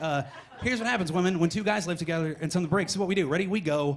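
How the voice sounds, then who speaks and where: Amid audible room echo and noticeable background noise, a man speaks at a very fast pace in a high pitch with ordinary pitch variation. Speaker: stand-up comedian. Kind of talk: stand-up. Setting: stage with audience. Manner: jittery.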